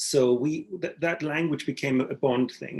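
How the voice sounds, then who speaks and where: A man with a fairly high pitch sounds somewhat breathy, with ordinary pitch variation. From Greece, with Austrian mother, born in England. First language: Austrian German dialect. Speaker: literary translator. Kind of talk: panel discussion. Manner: halting, many repetitions and fillers.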